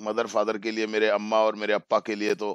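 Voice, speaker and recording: The sound is dry with no echo, over a quiet background. A man speaks at a moderate pace. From India. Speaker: English teacher. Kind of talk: lecture. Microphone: video call.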